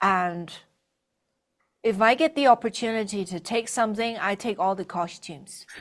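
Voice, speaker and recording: In a very clean recording with a silent background, a woman talks at medium pitch and a moderate pace, with ordinary pitch variation and long, frequent pauses. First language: not English. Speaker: actress. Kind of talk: interview.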